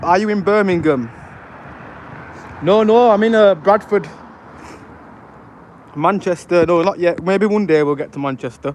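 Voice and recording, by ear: Speaking at a moderate pace with a Yorkshire accent, a high-pitched man uses ordinary pitch variation and takes long, frequent pauses over noticeable background noise.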